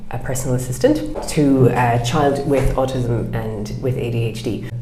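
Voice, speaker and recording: Heard with audible room echo and noticeable background noise, a woman with a southern Irish accent speaks in a very deep, low voice with fairly even intonation. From southwest Ireland. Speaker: ADHD coach. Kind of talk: podcast interview.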